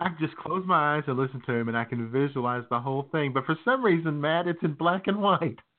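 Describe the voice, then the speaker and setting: At a very fast pace with hardly any pauses, a man speaks in a fairly high pitch with ordinary pitch variation. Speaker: podcast co-host. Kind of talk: casual comedic banter. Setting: live broadcast from a beach bar. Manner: animated.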